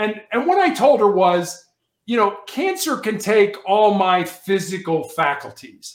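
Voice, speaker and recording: The speaker has an American accent and lively intonation. The pace is fairly slow. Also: man. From US Midwest, south side of Chicago. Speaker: author and motivational speaker, former police officer. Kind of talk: interview.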